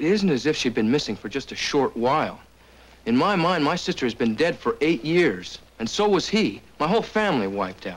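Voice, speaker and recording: His pitch swings very widely, with vocal fry in the voice. The man speaks at a fairly quick pace. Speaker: actor as a frontier brother. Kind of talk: drama dialogue. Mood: earnest, pleading. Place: office.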